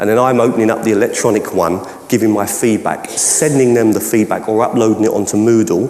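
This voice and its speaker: Speaking very fast with a Cockney accent, a man uses ordinary pitch variation amid audible room echo. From London (Cockney). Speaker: educational technology trainer and keynote speaker; presenter. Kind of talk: conference Q&A. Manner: halting, many false starts. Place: hall.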